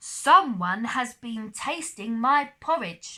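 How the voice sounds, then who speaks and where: Using a put-on character voice, a woman growls at a high pitch and a very slow pace. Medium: read story.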